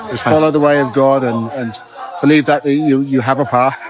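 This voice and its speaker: Over music in the background, a man talks at a moderate pace. His pitch is fairly high and his intonation fairly even. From United Kingdom. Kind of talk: street interview. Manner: halting, hesitant.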